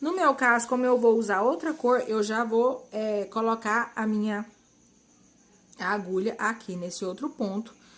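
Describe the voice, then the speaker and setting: A woman speaks at a fairly slow pace in a plain, everyday voice, her pitch fairly high with ordinary variation. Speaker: crochet instructor. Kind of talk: tutorial.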